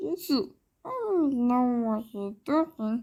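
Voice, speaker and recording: In a cartoonish character voice, a female-sounding speaker uses a high pitch and a fairly slow pace. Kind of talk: cartoon voice impression. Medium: solo performance. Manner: rambling, disjointed.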